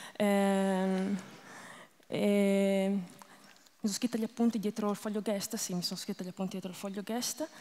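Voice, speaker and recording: The speech moves at a very slow pace with long, frequent pauses. Its intonation stays monotone and flat. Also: woman. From northern Italy, Lombardy. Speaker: stand-up comedian. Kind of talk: stand-up comedy. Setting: stage with audience. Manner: self-deprecating, deadpan jokes; hesitant, rambling, many fillers.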